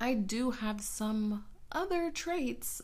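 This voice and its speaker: Her intonation is lively. The woman is heard with audible room echo. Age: 20s. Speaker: podcast host. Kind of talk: casual solo podcast monologue.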